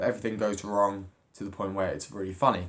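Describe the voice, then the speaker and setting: A man speaks at a fairly quick pace and a fairly low pitch in a normal speaking voice. The recording is very clean, with a silent background. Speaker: drama student. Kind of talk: video journal.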